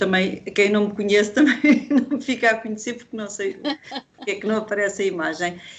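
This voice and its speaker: At a moderate pace, a woman with medium pitch and ordinary pitch variation talks over noticeable background noise. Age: 60s. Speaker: workshop participant. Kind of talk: casual chat. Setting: video call.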